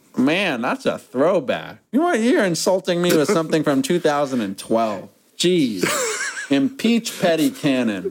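Over noticeable background noise, a man speaks at a very slow pace. His fairly high voice makes very wide pitch swings. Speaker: podcast host. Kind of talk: casual podcast banter.

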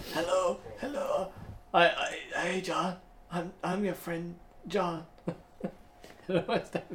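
In a put-on character voice, the speaker sounds raspy at a middle pitch and a fairly slow pace, with clear background noise. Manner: friendly greeting.

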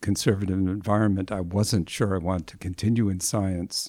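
A man's fairly low, dark, mellow voice with an American accent, in a very clean recording with a silent background. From US Northeast, Boston area. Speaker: geneticist, professor emeritus. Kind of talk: interview, personal recollection. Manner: halting, many fillers.

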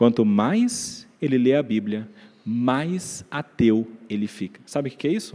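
A man with a Brazilian accent speaks at a fairly slow pace and medium pitch, with ordinary pitch variation. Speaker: preacher. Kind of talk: sermon. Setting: church. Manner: earnest, expository, urgent; measured, teacherly, warm.

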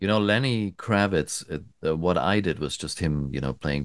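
A man with lively intonation talks at a moderate pace. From Germany. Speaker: recording engineer. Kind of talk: casual interview.

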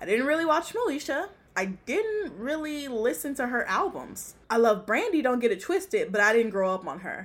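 A woman with a high pitch talks at a moderate pace with hardly any pauses, her animated tone carried by very wide pitch swings. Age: 20s. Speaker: podcast host. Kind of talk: casual chat.

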